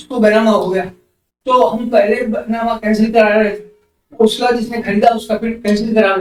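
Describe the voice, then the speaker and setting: Speaking with fairly even intonation, a man's voice sits high in pitch. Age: 70s. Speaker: senior civil lawyer. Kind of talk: interview answer.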